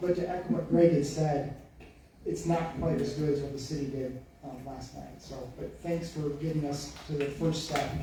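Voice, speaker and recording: Recorded with audible room echo and noticeable background noise, a man speaks at a fairly high pitch with fairly even intonation. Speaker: public commenter at township meeting. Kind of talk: public comment at meeting. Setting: township board meeting with audience. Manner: quiet, fast, mumbling.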